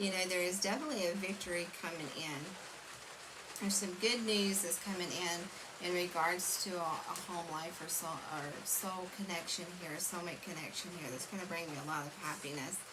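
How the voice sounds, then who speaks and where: Over noticeable background noise and audible room echo, a woman speaks at a moderate pace in a fairly low pitch with ordinary pitch variation. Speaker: tarot reader. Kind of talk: tarot reading monologue. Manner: mumbling; halting, many fillers.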